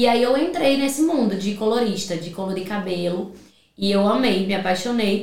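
Amid noticeable background noise and audible room echo, a woman talks at a moderate pace. Her pitch is medium and her intonation lively. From Rio de Janeiro, Brazil; from 14 in Paraíba. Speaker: salon owner and hair colorist. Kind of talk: casual chat.

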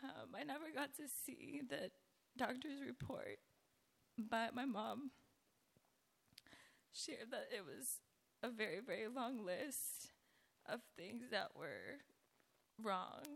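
A woman with high pitch and lively intonation speaks at a very slow pace, leaving long, frequent pauses. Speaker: schoolteacher. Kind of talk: testimony.

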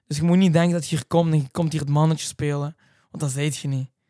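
A man's fairly high voice, monotone and flat, in a dry, close sound with no echo. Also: long, frequent pauses, very clean recording, silent background. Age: 20s. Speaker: reality TV contestant and racing driver. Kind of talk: casual chat.

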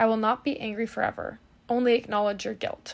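In a very clean recording with a silent background, a woman with a normal speaking voice talks at a fairly high pitch with fairly even intonation. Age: 20s. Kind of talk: casual bible teaching. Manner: casual with many filler words.

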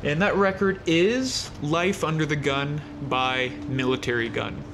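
Ordinary pitch variation shapes a man's speech, heard with audible room echo over noticeable background noise. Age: 30s. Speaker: music podcast host. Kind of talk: casual solo monologue. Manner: hesitant with many fillers.

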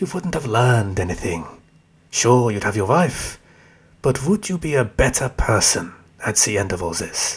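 With very wide pitch swings, a man speaks in a somewhat breathy voice. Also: medium pitch for a man, moderate pace. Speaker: fictional tempter character, voice actor. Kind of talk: scripted audio drama dialogue. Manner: sardonic, mocking, smug.

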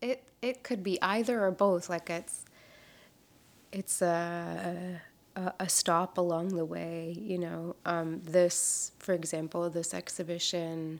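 On a very clean recording with a silent background, a woman speaks at a very slow pace, fairly low in pitch, with fairly even intonation. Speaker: painter and animation artist. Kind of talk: interview. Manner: halting, many fillers.

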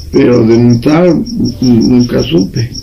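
A man at medium pitch, fairly slow, with ordinary pitch variation, audible room echo and noticeable background noise. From Mexico. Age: 50s. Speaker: dog breeder. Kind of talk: interview.

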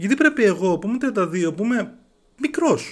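Very wide swings in pitch from a man, on a very clean recording against a silent background. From Greece. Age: 30s. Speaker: podcaster. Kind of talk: monologue.

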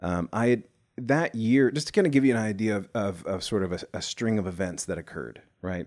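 A normal speaking voice comes from a man with an American accent and a fairly low pitch, talking at a fairly quick pace with ordinary pitch variation. The recording is very clean, with a silent background. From US South, Nashville. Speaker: executive producer and musician. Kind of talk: casual chat.

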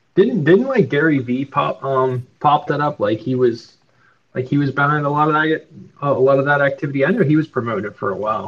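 The delivery is fairly quick, in an unremarkable speaking voice. Its pitch variation is ordinary. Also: man, fairly high pitch for a man. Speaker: NFT collector. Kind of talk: casual chat. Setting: live audio room online.

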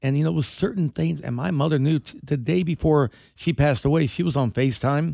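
A man talking at a fairly quick pace with lively intonation, on a very clean recording against a silent background. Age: 60s. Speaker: restaurateur. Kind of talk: casual chat. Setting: studio.

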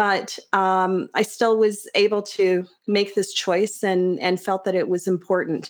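Fairly slow, monotone and flat speech from a woman at a medium pitch, with very even loudness and hardly any pauses, on a very clean recording with a silent background. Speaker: high school teacher. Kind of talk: casual interview. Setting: studio.

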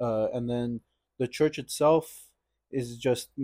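In a dark, mellow tone, a man talks very slowly. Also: dry, close sound with no echo. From Los Angeles, US. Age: young adult. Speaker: church parishioner. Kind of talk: casual interview.

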